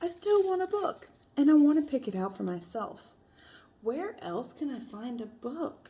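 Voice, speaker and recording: A female-sounding put-on character voice, high in pitch, with very wide pitch swings at a moderate pace. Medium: read story.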